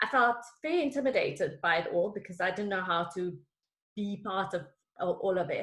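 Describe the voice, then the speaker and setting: In a South African accent, a woman talks at a fairly quick pace with a medium pitch and lively intonation. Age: 40s. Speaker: executive coach. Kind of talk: interview.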